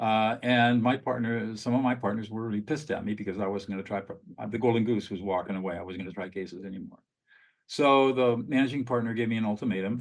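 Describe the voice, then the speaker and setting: In a quiet background, a man speaks at a very fast pace with a medium pitch and fairly even intonation. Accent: Californian. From US West, Southern California. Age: 70s. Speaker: lawyer turned peacemaker. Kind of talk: podcast interview.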